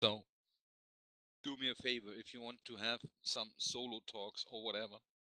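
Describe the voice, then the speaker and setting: A man's bright, sharp voice at medium pitch with a German accent, monotone, flat intonation and big swings in loudness. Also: moderate pace, dry, close sound with no echo. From Germany. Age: 40s. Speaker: game company representative. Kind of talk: meeting presentation.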